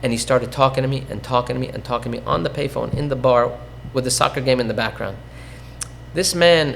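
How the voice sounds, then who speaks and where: A man talks over noticeable background noise. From Iran (Tehran), fled as child. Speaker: real estate investor, podcast guest. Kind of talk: interview, personal story. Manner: frequent fillers (um, uh), self-corrections.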